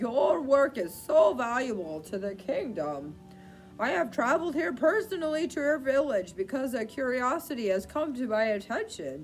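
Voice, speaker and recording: A put-on character voice with a nasal sound speaks at a moderate pace. Clear music plays in the background. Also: female-sounding voice, high pitch for a woman. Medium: read story. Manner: pompous.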